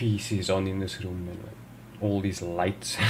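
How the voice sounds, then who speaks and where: A man talks at a fairly slow pace and fairly low pitch in a monotone, flat way. Audible room echo and noticeable background noise surround him. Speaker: gaming video creator. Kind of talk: gameplay commentary. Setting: home room with gaming PCs.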